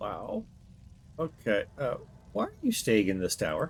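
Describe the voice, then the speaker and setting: Clear background noise sits behind someone using a put-on character voice. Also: man, moderate pace. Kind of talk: comic deadpan reactions. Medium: machinima. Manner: sarcastic, incredulous interjections.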